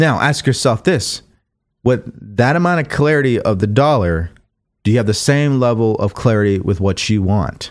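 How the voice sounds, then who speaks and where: A man's medium-pitched, animated voice at a moderate pace, with lively intonation and very even loudness. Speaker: motivational livestream host. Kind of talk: live stream talk with call-in questions.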